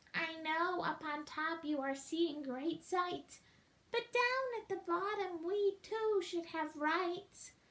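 Putting on a character voice, a woman speaks at a very slow pace. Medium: read story. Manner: pleading, groaning.

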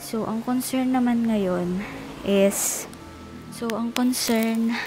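Faint music plays in the background as a woman speaks at a very slow pace with fairly even intonation, the sound dry with no echo. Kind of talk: casual vlog chat. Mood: worried before labor. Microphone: phone near.

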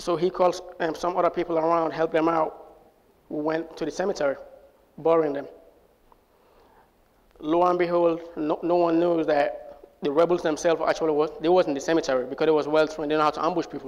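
Flat, monotone intonation runs at a fairly quick pace, broken by long, frequent pauses. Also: man, high pitch for a man. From Sierra Leone. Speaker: US Air Force airman. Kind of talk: personal storytelling to live audience. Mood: somber, recounting wartime trauma. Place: stage. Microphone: lapel.

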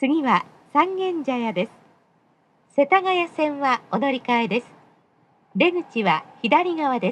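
The voice moves at a fairly slow pace with lively intonation. Its tone is fairly bright. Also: woman.

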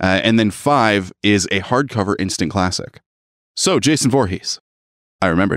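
A man speaks in an ordinary speaking voice at a fairly low pitch, with ordinary pitch variation and a moderate pace. His loudness stays very even, and the sound is dry and close with no echo. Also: very clean recording, silent background. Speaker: podcast co-host. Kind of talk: casual chat.

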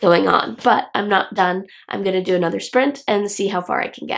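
Using a medium pitch, a woman talks at a moderate pace with vocal fry. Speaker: writer, author vlogger. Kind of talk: casual talk to camera. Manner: low-key, chill.

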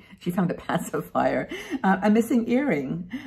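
A woman's voice shows vocal fry. Her pitch swings very widely. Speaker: vlogger. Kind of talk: casual vlog chat. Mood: warm, cheerful. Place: home room. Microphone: webcam.

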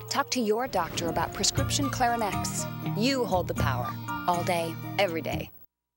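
Music plays in the background as a woman with a fairly low pitch speaks in an upbeat tone. Her moderate pace carries very wide pitch swings. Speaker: actress. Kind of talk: TV commercial read, pharmaceutical. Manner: upbeat, reassuring.

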